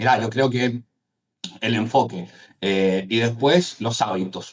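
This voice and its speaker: The speaker has a Cuyo Argentine accent and talks at a very slow pace. Pitch variation is ordinary. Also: man, medium pitch for a man. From Argentina, Mendoza. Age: 30s. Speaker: entrepreneur, AI agency founder. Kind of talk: interview.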